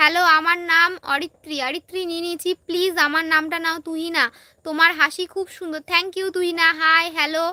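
Raised and projected, a woman's extremely high voice has a bright, sharp tone and flat, monotone intonation, with a dry, close sound and no echo. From West Bengal, India (Malda). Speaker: vlogger. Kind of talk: live stream reading viewer comments.

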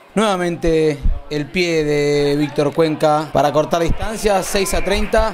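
A man with a fairly high pitch speaks in an animated tone with ordinary pitch variation. Noticeable background noise runs behind him. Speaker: match commentator and video editor. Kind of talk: sports commentary. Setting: voiceover over match footage. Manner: animated, fast play-by-play delivery.

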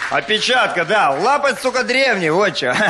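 Against light background noise, a man talks at a fairly slow pace in a raised, projected voice. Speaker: stand-up comedian. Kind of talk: stand-up comedy monologue. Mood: deadpan, mock-serious. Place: stage. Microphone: handheld.

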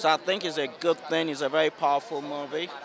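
A man speaks in a dry sound with no echo. Background noise is noticeable. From Nigeria. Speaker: doctor. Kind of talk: red carpet interview. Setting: red carpet at an awards event. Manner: halting. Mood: warm, enthusiastic. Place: street. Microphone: handheld.

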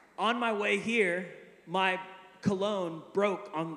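Speaking very slowly, a man with a high-pitched voice is heard in a room with audible echo. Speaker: preacher. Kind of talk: sermon. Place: hall. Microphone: handheld.

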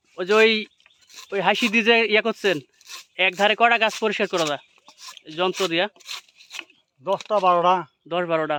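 A man's raised, projected voice, high in pitch with fairly even intonation, in a dry, close sound with no echo. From Rajshahi, Bangladesh. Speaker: vlogger. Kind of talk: vlog with on-site interviews. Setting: outdoors.

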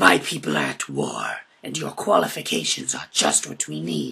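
A man speaks at a moderate pace in a put-on character voice. His pitch is very deep and low. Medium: audio drama. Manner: menacing, taunting.

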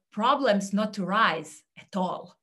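Against a quiet background, a woman with a Serbian accent speaks very slowly in a fairly high, bright and sharp voice. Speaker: career coach; speaker. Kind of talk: talk; presentation talk. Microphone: webcam.

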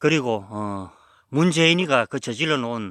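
Recorded very cleanly against a silent background, with a dry, close sound and no echo, a man speaks slowly-ish at a fairly slow pace in a medium pitch with lively intonation. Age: 50s. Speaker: herb forager and small channel host. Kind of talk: casual vlog monologue. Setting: outdoors on a mountain. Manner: halting, many fillers.

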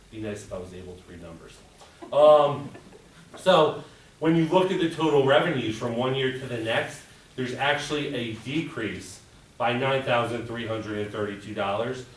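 A man speaks at a moderate pace with a medium pitch and lively intonation, with audible room echo and noticeable background noise. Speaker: school budget presenter. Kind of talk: budget presentation at board meeting. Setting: board of education work session.

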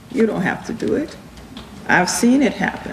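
A woman at a medium pitch with big pitch swings, speaking at a moderate pace amid audible room echo.

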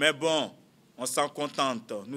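His pitch sits fairly high for a man. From Côte d'Ivoire. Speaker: politician, former student leader; politician. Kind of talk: press conference. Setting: press conference room. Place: meeting room.

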